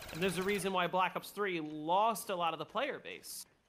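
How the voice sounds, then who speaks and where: A man's raised, projected voice, high in pitch, at a moderate pace. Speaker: gaming streamer. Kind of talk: casual chat while gaming. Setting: voice chat on Discord.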